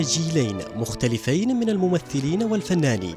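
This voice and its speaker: Music plays in the background. The speaker keeps a moderate pace with lively intonation. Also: man. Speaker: TV reporter. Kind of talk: TV news report narration.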